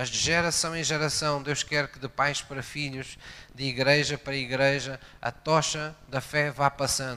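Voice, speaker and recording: A man's bright, sharp, fairly high voice in a flat monotone, fairly slow, with big jumps in loudness, on a very clean recording with a silent background. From Algarve, Portugal (Portimão). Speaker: pastor. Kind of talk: sermon.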